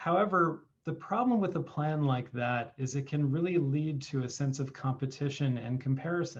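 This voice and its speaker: Somewhat breathy, the voice keeps a moderate pace with hardly any pauses and ordinary pitch variation. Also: man, fairly high pitch for a man. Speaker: family law attorney. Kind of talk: presentation on video call.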